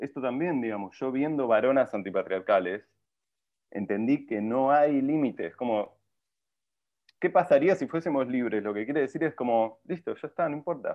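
This man has an unremarkable speaking voice at medium pitch. His intonation is lively and his pace moderate. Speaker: film director. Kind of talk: casual interview chat.

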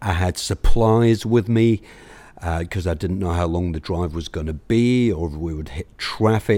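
In a London accent, a man with a very deep, low pitch and a dark, mellow tone speaks with ordinary pitch variation on a very clean recording with a silent background. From London, England. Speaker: recovery speaker sharing story. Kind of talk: recovery share, personal testimony.

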